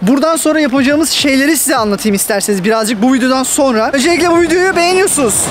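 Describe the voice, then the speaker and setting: Very fast speech from a man with an extremely high pitch and ordinary pitch variation, over noticeable background noise. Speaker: YouTuber giving migration advice. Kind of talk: casual vlog talk to camera.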